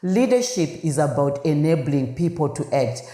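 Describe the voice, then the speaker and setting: With audible room echo, a woman talks at a fairly slow pace in a very deep, low voice, her intonation lively and her tone animated. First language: not English. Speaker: podcast host, leadership consultant. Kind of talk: podcast monologue on leadership. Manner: halting with fillers.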